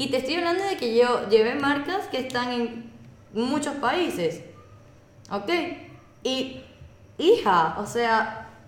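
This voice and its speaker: A woman with a Venezuelan accent speaks very slowly at a high pitch, her pitch swinging very widely, with long, frequent pauses. Noticeable background noise and audible room echo surround her voice. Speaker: communications specialist. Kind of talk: casual chat. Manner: animated.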